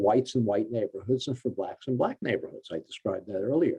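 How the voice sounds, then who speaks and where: A dark, mellow male voice with ordinary pitch variation. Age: 70s. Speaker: author and policy researcher. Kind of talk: Q&A answer at a forum. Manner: halting, many fillers.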